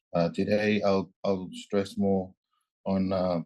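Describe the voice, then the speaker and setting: Very deep, low-pitched male voice with a Tuvaluan accent, monotone, flat intonation, fairly slow pace and a quiet background. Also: dry, close sound with no echo. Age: 20s. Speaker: youth climate activist. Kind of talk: panel statement. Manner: halting, repeats words.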